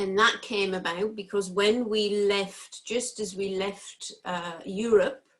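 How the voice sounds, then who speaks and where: Speaking very slowly with an English accent, a woman uses a medium-pitched voice. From England. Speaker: entrepreneur. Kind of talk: impromptu pitch.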